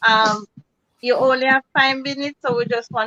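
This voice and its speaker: With a Jamaican accent, a woman speaks at a moderate pace in a dry, close sound with no echo. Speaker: cooking channel host. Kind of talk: casual chat. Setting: live video stream.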